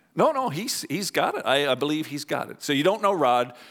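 A man's voice carries vocal fry and sits fairly high for his sex, swinging very widely in pitch as he talks at a moderate pace. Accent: Canadian. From Canada. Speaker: pastor. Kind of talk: sermon. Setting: church.

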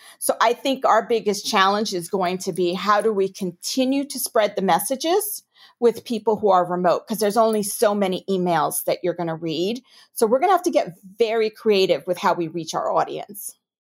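A woman with a New York accent at a moderate pace, lively in intonation, on a very clean recording with a silent background. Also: medium pitch for a woman. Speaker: corporate compliance executive. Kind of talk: interview.

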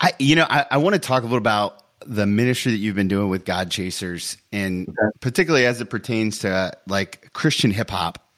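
In a plain, everyday voice, a man speaks at a fairly quick pace with fairly low pitch and lively intonation. The recording is very clean, with a silent background. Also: hardly any pauses. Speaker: podcast host. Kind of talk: casual interview.

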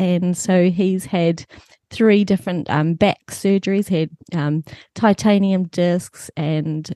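With a New Zealand accent, a woman speaks at a medium pitch in a dark, mellow tone with fairly even intonation, the sound dry and close with no echo over a quiet background. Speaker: author and church leader. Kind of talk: casual chat.

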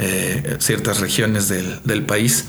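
Noticeable background noise and audible room echo surround the speaker. A man talks with lively intonation. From Mexico. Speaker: singer-songwriter. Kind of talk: interview. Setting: on location in Toluca.

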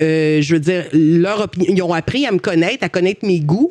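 A woman talks at a moderate pace with a Quebec accent. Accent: Québécois French. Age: 30s. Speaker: Twitch streamer and former TV gaming columnist. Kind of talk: interview. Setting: recorded live stream with chat.

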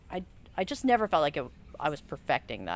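A woman with an American accent, very fast and fairly low in pitch, with vocal fry and very wide pitch swings. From US South, Charleston, South Carolina. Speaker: muralist. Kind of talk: casual interview. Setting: outdoors at mural site. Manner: halting.

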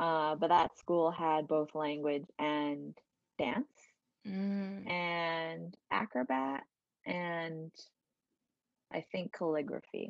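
A woman with a New York accent and fairly low pitch, at a very slow pace with long, frequent pauses, in a dry, close sound with no echo. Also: ordinary pitch variation. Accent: New York area American. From US Northeast, Westchester County, New York. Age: 20s. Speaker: dancer and personal trainer. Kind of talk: casual interview chat. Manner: laughs often.

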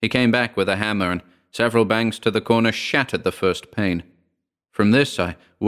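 A quiet background under someone reading aloud in a natural voice.

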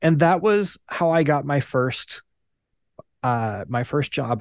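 Against a quiet background, a man with an ordinary speaking voice talks fairly slowly in a dry, close sound with no echo. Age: 40s. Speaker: nonprofit founder. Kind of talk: interactive presentation. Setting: video call.

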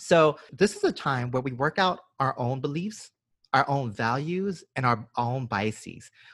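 Lively intonation and a somewhat breathy quality mark this voice with an American accent. The recording is very clean, with a silent background and a dry, close sound with no echo. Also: man. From US South, Georgia. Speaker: podcast co-host. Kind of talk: casual podcast discussion. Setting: home recording during quarantine.

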